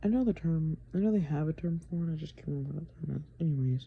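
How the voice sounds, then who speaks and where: Whispering at a very fast pace, a woman sounds somewhat breathy. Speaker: video creator explaining math. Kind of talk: casual tutorial. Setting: grandmother's house at night. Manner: halting, filler-heavy.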